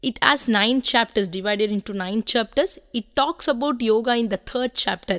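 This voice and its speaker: In an unremarkable speaking voice, a woman talks at a moderate pace with hardly any pauses, a fairly high pitch, and ordinary pitch variation, in a very clean recording with a silent background and a dry, close sound with no echo. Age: 30s. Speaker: yoga teacher. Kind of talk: interview.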